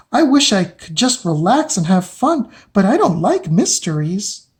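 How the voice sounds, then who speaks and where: This put-on character voice sits at a fairly high pitch and swings very widely in pitch. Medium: read story.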